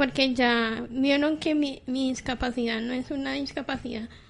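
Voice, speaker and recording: A woman's high pitch with fairly even intonation. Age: 30s. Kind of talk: live radio chat.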